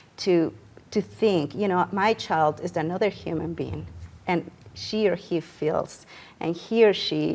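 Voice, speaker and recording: On a very clean recording with a silent background, a woman speaks fairly slowly in a fairly low voice with vocal fry and ordinary pitch variation. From Mexico. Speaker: family therapist, counseling center director. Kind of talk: TV talk show interview answer.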